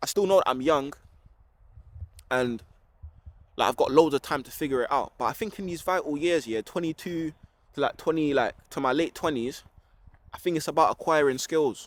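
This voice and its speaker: A London accent with ordinary pitch variation and long, frequent pauses, in a dry, close sound with no echo. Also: man, fairly high pitch for a man. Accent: London Multicultural English. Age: 20s. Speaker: vlogger. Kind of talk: casual vlog monologue. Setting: outdoors in a park. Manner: fast.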